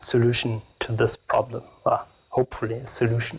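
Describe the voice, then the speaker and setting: A man speaks at a medium pitch with a strong German accent. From Germany. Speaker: security researcher. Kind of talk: conference talk. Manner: halting, many fillers.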